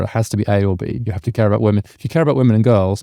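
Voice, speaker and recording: A man's fairly low voice with a dark, mellow tone and a British accent, ordinary pitch variation, and a dry, close sound with no echo. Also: very clean recording, silent background. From UK. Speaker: policy scholar and author. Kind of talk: podcast interview. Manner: grounded, measured delivery.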